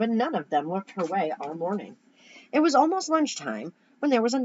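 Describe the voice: Text is read aloud here. The reading is plain.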